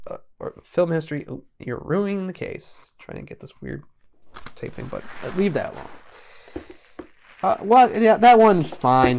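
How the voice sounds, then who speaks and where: Long, frequent pauses and big swings in loudness mark this man's delivery, which moves at a moderate pace with lively intonation. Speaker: youtuber. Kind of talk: casual monologue reviewing a movie collection. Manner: halting, many fillers and repetitions.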